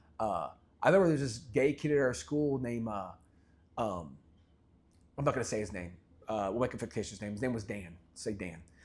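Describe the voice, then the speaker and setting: Pitched in the medium range, a man speaks at a fairly quick pace with lively intonation. He leaves long, frequent pauses. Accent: slight Southern US. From US South, Memphis, Tennessee. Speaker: podcast host. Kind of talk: casual interview conversation.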